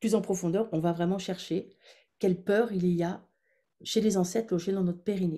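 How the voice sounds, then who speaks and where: At a moderate pace, a woman speaks at a medium pitch in a dark, mellow tone. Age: 60s. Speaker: former midwife and women's wellness coach. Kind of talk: webinar workshop with guided visualization. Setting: online webinar.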